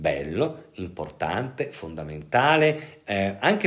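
Audible room echo colors a man's fairly low-pitched voice. He speaks at a fairly slow pace with lively intonation. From northern Italy, Pavia. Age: 50s. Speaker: psychiatrist and sexologist. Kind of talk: interview.

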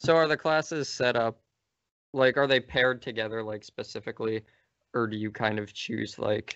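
A man's normal speaking voice at a medium pitch, with ordinary pitch variation and a moderate pace. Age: 20s. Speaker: podcast host. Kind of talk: casual chat.

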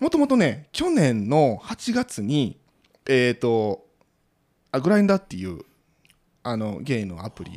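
A man speaks with a Kansai accent. His pitch swings very widely. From Osaka, Sakai. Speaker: podcaster. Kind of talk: casual chat.

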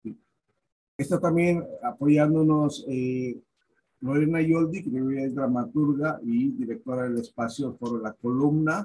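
A man with a dark, mellow tone and fairly high pitch speaks at a very slow pace with ordinary pitch variation. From Monterrey, Nuevo León, Mexico. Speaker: theatre director. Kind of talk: interview.

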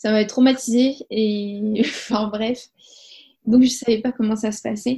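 A woman's fairly high, somewhat breathy voice stays monotone and flat. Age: 20s. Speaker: mother telling her home birth story. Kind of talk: testimony. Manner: hesitant, many fillers and repetitions.

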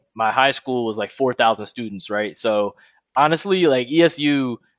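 With an American accent, a man talks at a moderate pace, using lively intonation and an unremarkable speaking voice. The sound is dry and close, with no echo. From Philadelphia suburbs. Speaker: entrepreneur. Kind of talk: interview. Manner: casual.

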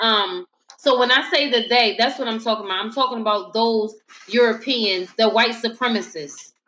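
Her pace is moderate, in an ordinary speaking voice. The woman's pitch is fairly high, with ordinary pitch variation. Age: 30s. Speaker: podcast host. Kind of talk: casual discussion. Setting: live stream.

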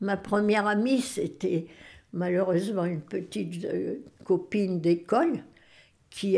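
On a very clean recording with a silent background, a woman speaks at a very slow pace and medium pitch, her tone dark and mellow and her pitch variation ordinary. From northern France, Boulogne-sur-Mer. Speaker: great-grandmother, retired farmer. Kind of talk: life-story interview, testimony.

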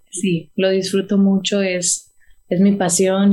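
This woman's voice has a dark, mellow tone and sounds somewhat breathy. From Texas, McAllen (Rio Grande Valley). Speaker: singer. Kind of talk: interview.

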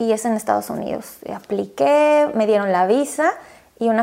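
A plain, everyday voice, a woman speaking at a moderate pace in a fairly high pitch. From Quito, Ecuador. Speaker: relationship coach, organization founder. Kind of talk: interview.

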